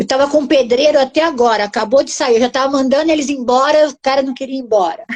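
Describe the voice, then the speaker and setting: A woman talks at a very fast pace with hardly any pauses. Her pitch is high, with ordinary variation. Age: 60s. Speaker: housing researcher and author. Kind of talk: live-stream interview.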